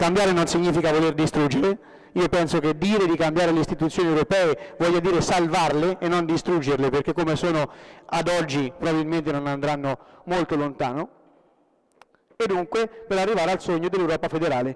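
Against a quiet background, a man with a high-pitched voice talks at a fairly quick pace with very even loudness and fairly even intonation. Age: 20s. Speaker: young local politician. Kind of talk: conference speech. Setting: stage with audience. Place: hall. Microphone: podium.

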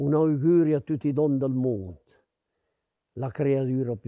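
A man speaks at a medium pitch with a Lombard accent, his tone dark and mellow. The recording is very clean, with a silent background. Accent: Brianza Lombard dialect. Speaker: dialect poet. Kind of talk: poetry reading. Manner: heartfelt.

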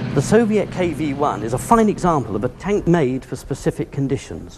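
With a British accent, a man talks at a moderate pace. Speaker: military historian. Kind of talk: expert interview commentary. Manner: measured. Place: hall.

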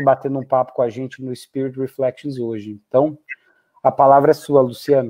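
He speaks at a moderate pace with an unremarkable speaking voice. This man's pitch is fairly high. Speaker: podcast host. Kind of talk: interview conversation.

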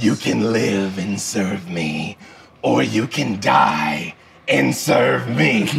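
Using a put-on character voice, a man growls at a very slow pace with a raspy, very deep, low pitch and a menacing tone. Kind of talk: villain voice by the game master. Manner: menacing, mocking, arrogant.

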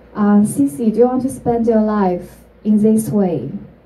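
Speaking very slowly in a Chinese accent, a woman uses a fairly high pitch and lively intonation. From China. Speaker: entrepreneur; speaker. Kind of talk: talk to an audience. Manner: halting. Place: stage.

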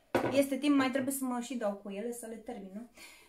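A woman with a high pitch and ordinary pitch variation talks while noticeable background noise can be heard. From Romania. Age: 30s. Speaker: YouTuber; haul vlogger. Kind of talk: shopping haul video; casual vlog chat. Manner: casual, with fillers. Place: home room. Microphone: phone near.

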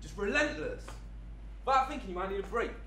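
Audible room echo over light background noise. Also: man. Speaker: actor performing a monologue. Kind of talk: theatrical monologue in character. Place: hall.

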